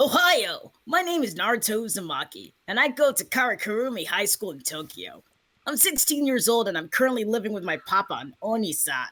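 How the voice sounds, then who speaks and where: A put-on character voice runs at a fairly quick pace with a fairly high pitch. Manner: weird, cartoonish.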